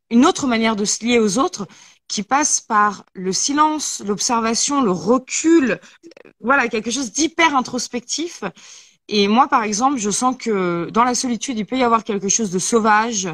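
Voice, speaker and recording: A woman with a normal speaking voice talks at a fairly slow pace and a fairly high pitch. The recording is very clean with a silent background and a dry, close sound with no echo. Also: lively intonation. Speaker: talk show host. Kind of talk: casual chat.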